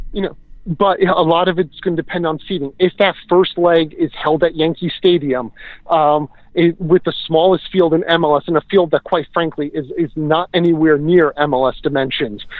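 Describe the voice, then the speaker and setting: A high-pitched male voice with a New Jersey accent, fairly even in intonation, at a moderate pace. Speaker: soccer journalist. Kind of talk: interview.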